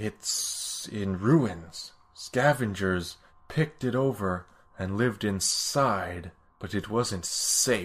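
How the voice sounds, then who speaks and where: A man uses a put-on character voice. He speaks at a very slow pace. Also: fairly low pitch for a man. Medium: actual play. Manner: curt, terse.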